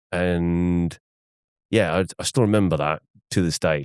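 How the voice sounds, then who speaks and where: A man speaks with a very deep, low pitch. The sound is dry and close with no echo, over a quiet background. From South Africa. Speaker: business rescue practitioner. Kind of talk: casual interview chat. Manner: animated.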